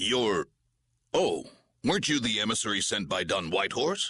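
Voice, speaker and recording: Using a put-on character voice, the man speaks at a medium pitch. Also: moderate pace. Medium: video game. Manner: polite, formal.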